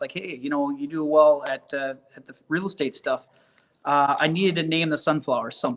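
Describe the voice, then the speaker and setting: A fairly high-pitched man at a fairly quick pace. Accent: Upper Midwest. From Minnesota. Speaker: realtor and sunflower farm owner. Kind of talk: podcast interview.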